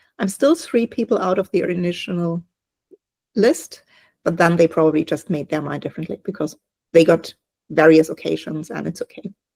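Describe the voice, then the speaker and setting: A woman with a German accent speaks at a fairly quick pace, yet with long, frequent pauses. Her fairly low pitch shows ordinary variation, her tone is dark and mellow, and the sound is dry and close with no echo. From Germany. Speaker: online business owner. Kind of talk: casual group video call chat.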